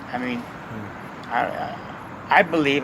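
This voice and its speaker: There is noticeable background noise. Over it, a man talks at a fairly high pitch. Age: 60s. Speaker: homeless man in a wheelchair. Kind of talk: interview answer.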